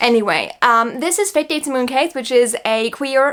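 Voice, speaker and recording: The speaker has an American accent. The tone is animated, with ordinary pitch variation. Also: woman. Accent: international school. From New York. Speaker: book vlogger. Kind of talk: casual chat.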